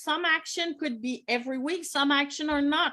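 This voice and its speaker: A woman with a Quebec accent speaks at a high pitch and a fairly slow pace, her tone bright and sharp and her pitch varying in an ordinary way. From Quebec, Montreal. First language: French. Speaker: business coach. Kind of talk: online workshop presentation. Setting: live stream.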